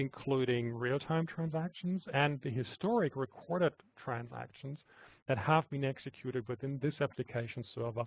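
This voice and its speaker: Somewhat breathy, fairly high voice of a man, dry and close with no echo. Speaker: software product presenter. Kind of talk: webinar product demo. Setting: web conference screencast. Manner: soft-spoken; halting, repeats words.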